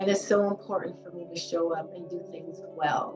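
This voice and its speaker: The speech moves at a moderate pace with fairly even intonation while music plays in the background. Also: woman. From Los Angeles. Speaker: clinical social worker. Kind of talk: interview answer.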